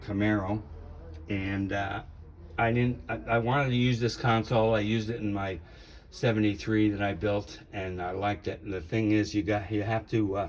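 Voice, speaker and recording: Audible room echo surrounds a man who talks at a moderate pace with fairly even intonation. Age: 70s. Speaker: car hobbyist. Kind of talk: casual walkaround video tour. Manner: hesitant, many fillers.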